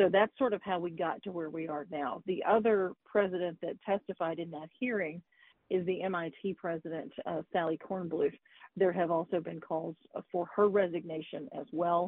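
This woman has an unremarkable speaking voice, fairly low in pitch. She talks at a moderate pace with fairly even intonation. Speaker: news correspondent. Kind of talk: radio interview.

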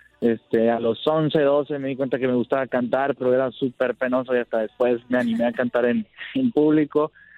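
In a plain, everyday voice, a man of medium pitch speaks at a fairly quick pace with fairly even intonation. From Sonora, Mexico. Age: 20s. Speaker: singer-songwriter. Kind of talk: phone interview.

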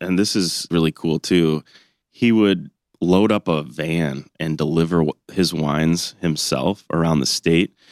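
In an American accent, a man with a very deep, low pitch speaks at a fairly slow pace in a very clean, dry, close recording with no echo and a silent background. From Michigan, Ann Arbor. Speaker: winery CEO and winemaker. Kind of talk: interview.

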